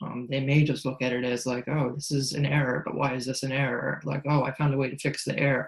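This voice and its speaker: Over noticeable background noise, a man talks very fast with hardly any pauses, his medium-pitched voice monotone and flat. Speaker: accessibility specialist. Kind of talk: panel discussion. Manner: deadpan, monotone.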